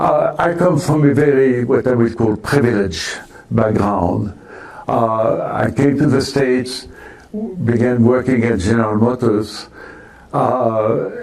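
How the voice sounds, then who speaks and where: A man speaks at a fairly slow pace in a medium pitch, with ordinary pitch variation and very even loudness. The recording carries noticeable background noise and audible room echo. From France. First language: French. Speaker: retired engineer and volunteer. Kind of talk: interview testimony. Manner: halting, many fillers.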